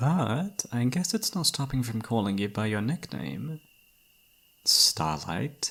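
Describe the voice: A man's put-on character voice, slow and fairly bright, with a slightly husky edge, vocal fry and big pitch swings. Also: medium pitch for a man.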